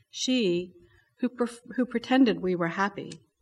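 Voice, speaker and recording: Somewhat breathy, with an American accent, the speaker uses lively intonation at a moderate pace. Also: woman. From Baltimore, Maryland. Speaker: poet. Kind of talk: poetry reading. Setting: library event with audience.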